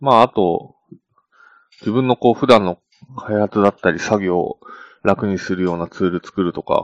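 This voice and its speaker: Recorded with a dry, close sound and no echo, a man of fairly low pitch speaks at a moderate pace with ordinary pitch variation and long, frequent pauses. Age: 20s. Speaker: software engineer podcast co-host. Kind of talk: casual chat.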